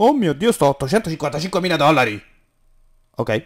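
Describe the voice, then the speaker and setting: With vocal fry and very wide pitch swings, a man talks in a fairly high voice. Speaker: gaming youtuber. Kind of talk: let's play commentary. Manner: animated.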